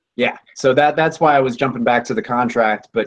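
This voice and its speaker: A man talks at a fairly quick pace. He has a Colorado accent. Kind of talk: casual chat.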